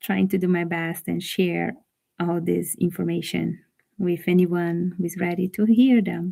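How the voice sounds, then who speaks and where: A woman with a Brazilian accent, fairly low in pitch, at a moderate pace and with fairly even intonation. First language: Portuguese. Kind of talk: reading aloud with commentary.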